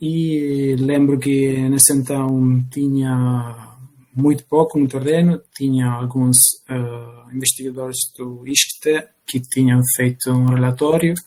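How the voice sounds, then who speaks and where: In a non-native accent, a man with a medium pitch speaks at a very slow pace with monotone, flat intonation. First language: not Portuguese (speaking Portuguese). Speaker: bioethics researcher. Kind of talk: panel discussion. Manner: halting.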